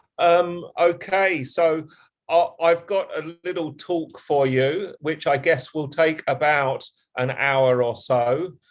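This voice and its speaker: The speaker has an English accent and talks at a very slow pace. The pitch varies in an ordinary way. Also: man, fairly high pitch for a man. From England. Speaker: university lecturer. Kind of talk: lecture. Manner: halting, many fillers.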